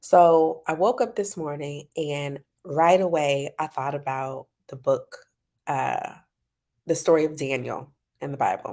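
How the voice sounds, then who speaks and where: A woman speaks quietly in a very deep, low, dark and mellow voice, her loudness swinging widely. She leaves long, frequent pauses on a very clean recording with a silent background. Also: ordinary pitch variation, fairly slow pace. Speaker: parent coach. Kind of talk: casual talk to camera. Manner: quiet, low voice.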